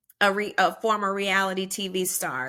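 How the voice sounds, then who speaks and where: The tone is bright and sharp at a fairly slow pace. The recording is very clean, with a silent background. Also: woman. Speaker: media personality, former reality TV star. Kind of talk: podcast interview.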